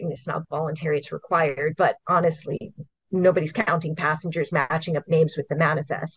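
A somewhat breathy woman's voice in a dry, close sound with no echo. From Hawaii. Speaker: invasive species program coordinator. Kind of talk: interview.

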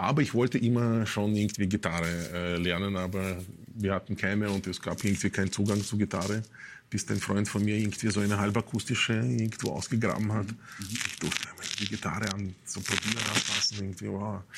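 Fairly even intonation carries a man's fairly low-pitched voice. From Russia, Moscow. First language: Russian (speaking German). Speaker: musician. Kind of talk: casual interview. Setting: studio.

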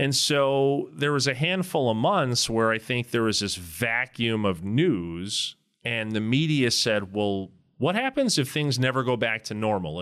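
A man with an American accent and a plain, everyday voice, speaking at a fairly slow pace in a very clean recording with a silent background. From Wisconsin. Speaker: commercial real estate broker. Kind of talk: casual interview.

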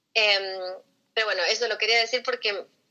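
Ordinary pitch variation runs through a tone that is bright and sharp. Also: woman. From Argentina, Buenos Aires. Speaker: health coach and entrepreneur. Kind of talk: interview. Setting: call.

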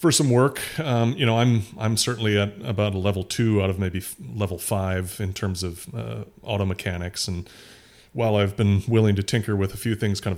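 At a moderate pace, a normal speaking voice with ordinary pitch variation comes through in a very clean recording with a silent background. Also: man. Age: 50s. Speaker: podcast co-host. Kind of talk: casual chat.

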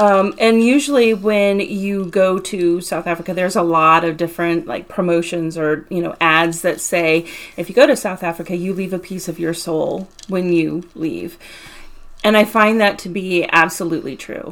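With a plain, everyday voice, a woman speaks at a moderate pace in a fairly low pitch with ordinary pitch variation. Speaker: podcast host, mindfulness practitioner. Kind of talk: casual chat.

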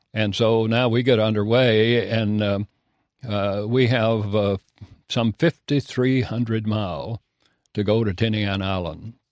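Speaking slowly-ish with a Kentucky accent, a man keeps a fairly low pitch and fairly even intonation. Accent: Kentucky rural Southern US. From Kentucky, rural. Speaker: war veteran. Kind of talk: testimony. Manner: halting, many fillers.

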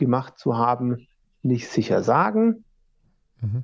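A man's medium-pitched voice at a very slow pace. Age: 30s. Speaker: orchestral trombonist. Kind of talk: interview.

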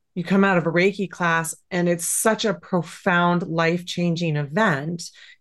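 Against a quiet background, a woman speaks in a plain, everyday voice with an American accent. Her pitch is fairly low and her intonation fairly even. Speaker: Reiki teacher and animal communicator. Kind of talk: interview conversation.

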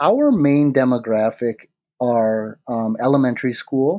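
Against a quiet background, a man with a Midwestern American accent speaks in a dark, mellow tone. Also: dry, close sound with no echo. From Michigan, near Detroit. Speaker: product creator. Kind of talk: interview. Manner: halting, many fillers.

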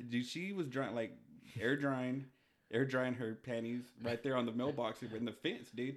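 This is a man with an ordinary speaking voice. He talks at a moderate pace and medium pitch, with fairly even intonation. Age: 30s. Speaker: podcast co-host, mail carrier. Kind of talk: casual chat.

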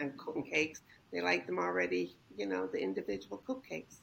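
A woman with an American accent, vocal fry and a fairly quick pace. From Ireland. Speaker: home baker. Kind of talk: interview.

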